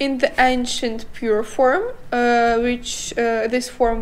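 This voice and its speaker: A woman speaks very slowly in a high voice, with noticeable noise in the background. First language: not English. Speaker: podcast co-host. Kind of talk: casual chat. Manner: halting.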